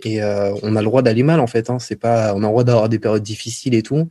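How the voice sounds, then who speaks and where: A man's dark, mellow voice moves at a moderate pace. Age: 20s. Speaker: YouTuber. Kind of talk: casual chat.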